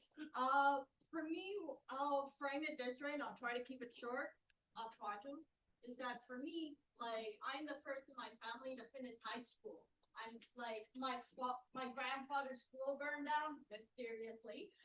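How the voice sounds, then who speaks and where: A woman speaks loudly in a high voice. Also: ordinary pitch variation, fairly slow pace. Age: 30s. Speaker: audience member, student. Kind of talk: audience question.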